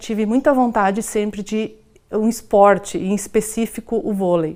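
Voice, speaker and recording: A woman speaks in a fairly high pitch with a dark, mellow tone. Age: 40s. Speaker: documentary interviewee. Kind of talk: personal testimony. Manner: halting.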